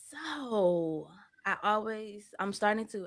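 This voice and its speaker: A soft-spoken woman with an American accent, at a very slow pace, with ordinary pitch variation. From Arkansas. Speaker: podcast host. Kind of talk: casual podcast interview. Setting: at home.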